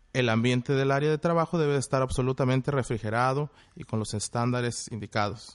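A man speaks in a plain, everyday voice at medium pitch and a moderate pace, with ordinary pitch variation, a dry, close sound with no echo and a quiet background. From Mexico, Monterrey, Nuevo León. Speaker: chef. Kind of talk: explanatory talk, partly read. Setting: video call.

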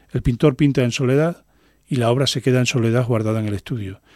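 A man with a dark, mellow tone and medium pitch speaks at a fairly quick pace with fairly even intonation, in a dry, close sound with no echo. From Extremadura, Spain. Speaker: painter. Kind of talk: radio interview. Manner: hesitant, many fillers.

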